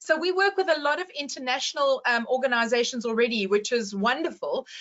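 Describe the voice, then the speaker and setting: A woman with a high pitch and lively intonation speaks at a fairly quick pace. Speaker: certification company representative. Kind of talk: webinar panel discussion. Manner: fast.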